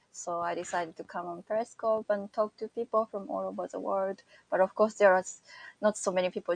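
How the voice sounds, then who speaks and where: The sound is close and dry, without echo. At a medium pitch, a woman talks. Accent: Japanese. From Japan, Okayama. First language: Japanese. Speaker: broadcaster and cultural live streamer. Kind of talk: casual interview.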